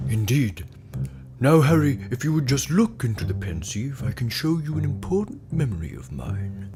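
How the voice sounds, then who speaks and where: A man puts on a character voice at a medium pitch and a moderate pace. Clear music plays behind him. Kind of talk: comic parody acting. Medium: audio drama. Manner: rambling, absent-minded.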